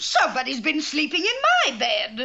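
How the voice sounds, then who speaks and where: A female-sounding, cartoonish character voice comes through. It moves at a moderate pace. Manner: prim, fussy.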